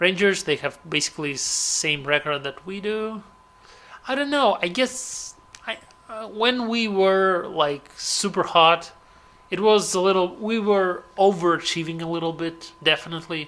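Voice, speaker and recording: Speaking at a fairly slow pace with ordinary pitch variation, a man with a Russian accent has a high-pitched voice. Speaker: gaming commentator. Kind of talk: gameplay commentary. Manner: halting.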